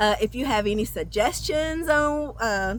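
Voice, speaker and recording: The speaker has a Southern US accent, captured in a very clean recording with a silent background. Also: woman. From US South. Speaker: travel vlogger. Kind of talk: casual chat. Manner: talkative; halting.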